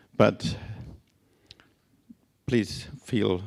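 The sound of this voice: A man's raspy voice with vocal fry, fairly low in pitch, very slow in pace, with fairly even intonation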